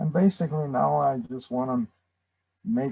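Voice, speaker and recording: With a dry, close sound and no echo, a man speaks at a medium pitch and a fairly slow pace in a dark, mellow tone. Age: 80s+. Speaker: retired congregation member. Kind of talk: sharing circle. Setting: video call. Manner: halting.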